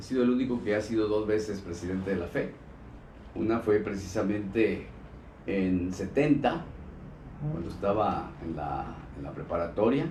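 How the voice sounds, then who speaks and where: There is audible room echo as a man speaks with a fairly low pitch. His intonation is lively, with long, frequent pauses. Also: moderate pace. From Mexico, Colima. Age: 60s. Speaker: former state governor and politician. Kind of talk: interview. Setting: live streamed interview, in person.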